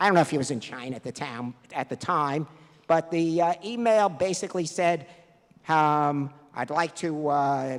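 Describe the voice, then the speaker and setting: A man with a New York accent at a fairly high pitch, moderate pace and ordinary pitch variation. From New York, the Bronx. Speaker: math competition director. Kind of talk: awards ceremony speech.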